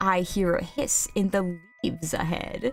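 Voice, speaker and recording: Over faint background music, a woman uses a put-on character voice at a medium pitch and a moderate pace. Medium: virtual streamer.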